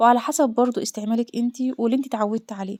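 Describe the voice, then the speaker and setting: A woman talks at a very fast pace with a fairly high pitch and fairly even intonation in a dark, mellow tone. The recording is very clean, with a silent background. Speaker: homemaker vlogger. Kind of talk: casual vlog chat.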